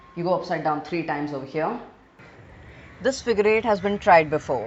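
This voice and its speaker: A woman with an Indian accent at a fairly quick pace, her pitch swinging very widely. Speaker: gaming video creator. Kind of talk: gameplay narration.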